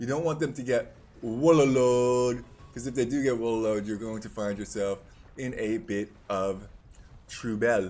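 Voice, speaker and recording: Over music in the background, a man speaks in an animated tone at medium pitch, with ordinary pitch variation and a moderate pace. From Netherlands. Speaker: video game caster. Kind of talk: live commentary. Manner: casual, animated.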